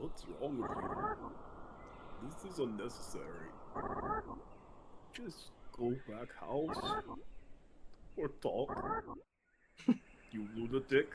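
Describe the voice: A man performs a put-on character voice at a very slow pace. Long, frequent pauses break up his speech.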